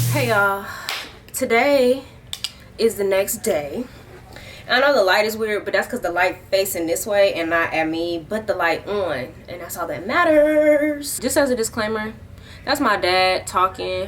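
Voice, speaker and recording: A woman talks fairly slowly, her pitch swinging very widely, with noticeable noise behind her. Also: medium pitch for a woman. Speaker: lifestyle vlogger. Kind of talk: casual vlog chat. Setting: at home, dad talking in background. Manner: loud.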